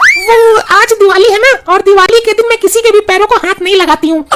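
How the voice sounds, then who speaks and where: Over loud background noise, a woman talks in a cartoonish character voice pitched extremely high, at a fairly quick pace with very even loudness. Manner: bossy, sharp-tongued.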